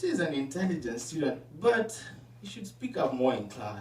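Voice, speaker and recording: A man talks at a moderate pace with lively intonation. Noticeable background noise and audible room echo fill the recording. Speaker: student. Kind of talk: reading aloud. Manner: mumbling.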